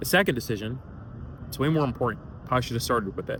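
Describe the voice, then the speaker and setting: Here is a man with an American accent and an unremarkable speaking voice. His pitch is medium, with ordinary pitch variation. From Atlanta, Georgia, US. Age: 20s. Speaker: career content creator, entrepreneur. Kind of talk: casual talk to camera.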